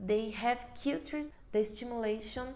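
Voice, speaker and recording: A woman with a Brazilian accent speaks in a high pitch with ordinary pitch variation. Audible room echo is present. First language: Portuguese. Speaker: occupational therapist. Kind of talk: webinar presentation. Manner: halting.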